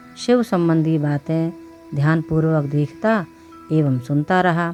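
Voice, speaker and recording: A woman speaks in a fairly low voice while music plays in the background. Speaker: voice over artist. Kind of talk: religious story narration.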